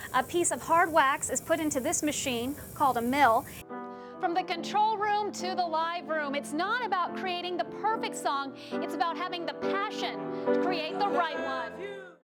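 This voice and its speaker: A high-pitched woman at a moderate pace, with music in the background. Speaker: TV news reporter. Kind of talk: TV news report narration.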